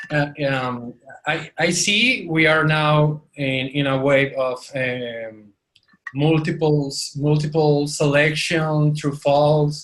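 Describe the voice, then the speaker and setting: At a very slow pace, a man speaks with fairly even intonation. His pitch is fairly high. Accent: non-native. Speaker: course student. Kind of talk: group discussion. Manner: halting.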